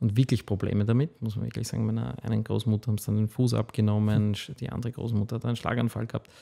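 A man's dark, mellow, fairly low-pitched voice against a quiet background. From Austria, Waldviertel (Lower Austria); Lower Austria. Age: 40s. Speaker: food company founder; podcast guest. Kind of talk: interview. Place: studio. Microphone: studio mic.

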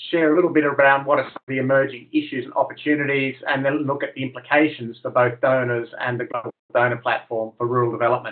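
A male speaker at a very rapid pace, with little noise behind him. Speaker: presenter. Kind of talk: webinar presentation. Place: home room. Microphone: webcam.

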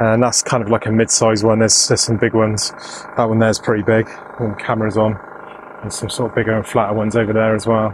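Talking at a very fast pace in a monotone, flat way, a man is recorded with a dry sound, no echo, and noticeable background noise. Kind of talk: casual vlog chat. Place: open country. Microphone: phone near.

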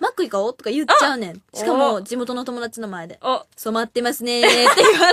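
Over loud background noise, a woman in a Kansai accent speaks at a very fast pace and a high pitch, with big swings in loudness, in a dry sound with no echo. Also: lively intonation. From Kansai, Japan. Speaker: idol group member. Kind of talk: radio talk show chat. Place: studio.

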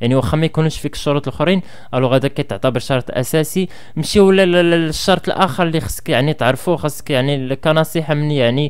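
The man talks at a fairly quick pace. Behind him, the background is quiet. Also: ordinary pitch variation. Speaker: education vlogger. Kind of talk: advice talk to camera. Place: home room. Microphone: studio mic.

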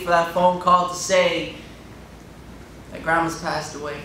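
A man's high voice at a moderate pace, with audible room echo and light background noise. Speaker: spoken word poet. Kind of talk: spoken word poetry performance. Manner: rhythmic, emotional. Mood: emotional, grieving. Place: hall.

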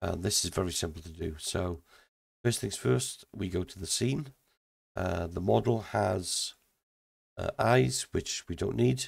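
Very deep and low in pitch with vocal fry, a man speaks at a fairly slow pace with very wide pitch swings and long, frequent pauses in a very clean recording with a silent background. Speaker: indie game developer. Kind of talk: software tutorial. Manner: halting, many fillers.

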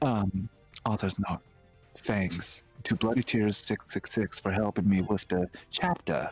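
A man puts on a wheezy character voice, fairly low in pitch and at a fairly slow pace. Music plays in the background.

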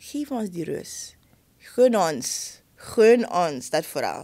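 Quiet surroundings behind a woman's voice. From Suriname. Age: 30s. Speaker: schoolteacher. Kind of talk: interview conversation. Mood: earnest, passionate about teaching. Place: studio. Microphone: studio mic.

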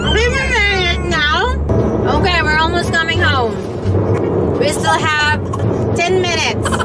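Music plays behind a woman speaking at a fairly slow pace. The sound is dry with no echo. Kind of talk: casual vlog chat. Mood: soothing, slightly stressed. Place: car. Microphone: phone near.

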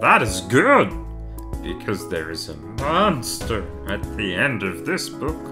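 Loud music plays behind a put-on character voice. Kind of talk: children's picture book reading. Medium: read story. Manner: nervous, pleading, fussy.

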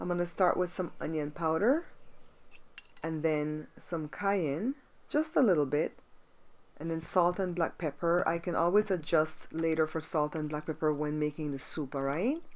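At a moderate pace, a woman with an ordinary speaking voice talks at a fairly low pitch with ordinary pitch variation. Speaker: home cook host. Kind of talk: cooking tutorial. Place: kitchen.

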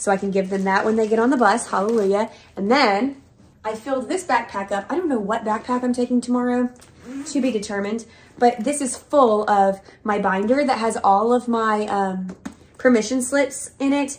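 A woman speaks at a moderate pace with a fairly high, somewhat breathy voice and ordinary pitch variation. Light background noise is present. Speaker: elementary school teacher. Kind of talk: casual vlog talk to camera. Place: home room. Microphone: camera far.

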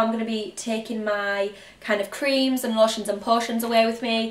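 A woman with a North East England accent talks at a fairly quick pace in a fairly high voice, with audible room echo. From County Durham, North East England. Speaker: intensive care nurse and fashion youtuber. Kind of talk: casual talk to camera haul video. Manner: chatty, relaxed. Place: home room. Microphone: camera far.

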